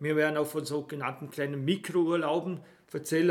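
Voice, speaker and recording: Fairly quick and fairly high-pitched, a man delivers his words with monotone, flat intonation. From Austria, Vorarlberg (Bregenz area). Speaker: travel podcast host. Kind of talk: casual chat.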